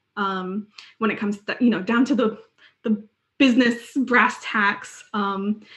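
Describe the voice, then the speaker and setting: A woman with a fairly high, somewhat breathy voice speaks with fairly even intonation. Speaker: UX design lead, conference speaker. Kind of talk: conference Q&A.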